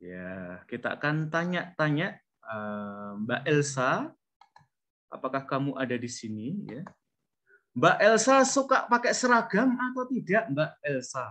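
The tone is bright and sharp, with very wide swings in pitch. The delivery moves at a very slow pace. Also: man, fairly high pitch for a man. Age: middle-aged. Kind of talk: online class lecture. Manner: animated.

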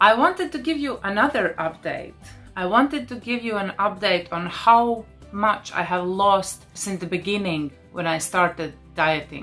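A woman at a moderate pace, faint music in the background. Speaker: vlogger. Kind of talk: casual vlog chat. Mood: pleased, upbeat. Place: home room. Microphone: lapel.

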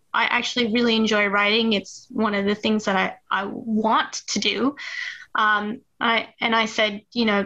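Slow-paced and fairly high-pitched, a woman with an American accent speaks in a bright, sharp tone with monotone, flat intonation. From US Midwest, Duluth, Minnesota. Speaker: game writer and parent gamer. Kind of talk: casual interview.

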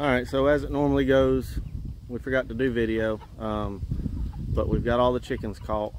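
A man at a fairly slow pace with lively intonation, in a dry sound with no echo. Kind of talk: casual vlog chat. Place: farm machine. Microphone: phone near.

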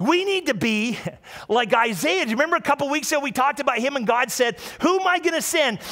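Against a quiet background, a raised, projected voice races along at a very fast pace in an animated, warm tone. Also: man, extremely high pitch for a man, lively intonation. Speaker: pastor. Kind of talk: sermon. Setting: church with live audience and livestream. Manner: animated, warm and conversational, with call-and-response; repeats phrases and stumbles slightly while speaking. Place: church. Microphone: headset.

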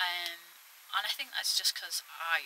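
There is light background noise behind a woman's voice. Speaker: allotment vlogger. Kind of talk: casual vlog chat. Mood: reflective, a bit frustrated. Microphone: phone near.

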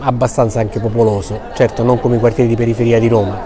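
A man's voice with noticeable background noise. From Sicily. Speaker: bookshop owner. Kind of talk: interview. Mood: warm, smiling. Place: shop. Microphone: phone near.

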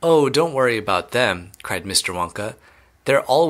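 Lively intonation in plain reading aloud.

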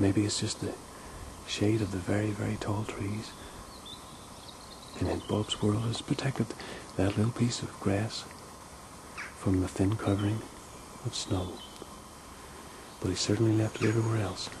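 A man at a fairly low pitch, monotone and flat, at a moderate pace with long, frequent pauses over noticeable background noise. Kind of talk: playful tour narration.

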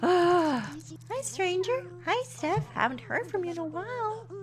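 Doing a put-on character voice at an extremely high pitch, a woman speaks at a fairly slow pace while clear music plays in the background.

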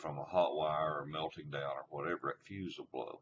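Vocal fry runs through this man's voice, with light background noise behind it. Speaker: tractor. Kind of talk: tutorial.

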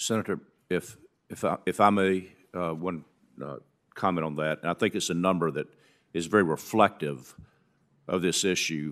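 Long, frequent pauses break up speech at a moderate pace in a Southern US accent, with fairly even intonation and a quiet background. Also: man, very deep, low pitch for a man. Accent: Southern American. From central Alabama. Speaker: redevelopment lawyer testifying. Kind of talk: formal testimony. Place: hall. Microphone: podium.

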